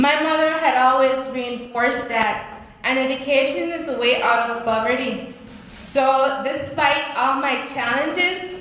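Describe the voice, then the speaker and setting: Over noticeable background noise and audible room echo, a woman with a high pitch speaks at a fairly slow pace with fairly even intonation. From Belize. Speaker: speaker sharing life story. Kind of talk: testimony. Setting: stage with audience. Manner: halting.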